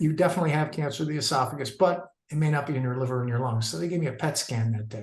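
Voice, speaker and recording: Speaking at a very fast pace, a man with a fairly high pitch and ordinary pitch variation sounds somewhat breathy. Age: 60s. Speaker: cancer survivor. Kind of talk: personal testimony. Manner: halting, many fillers.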